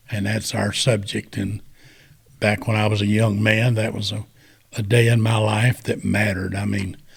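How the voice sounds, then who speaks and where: With a Southern US accent and vocal fry, the speaker talks at a moderate pace. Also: man. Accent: Southern US (Georgia). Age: 70s. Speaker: war veteran. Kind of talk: storytelling. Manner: casual, conversational.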